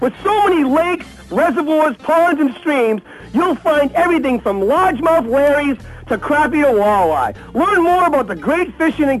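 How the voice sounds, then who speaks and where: A man with an American accent, extremely high pitch, lively intonation and very even loudness, over noticeable background noise. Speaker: outdoor TV show host. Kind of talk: casual banter.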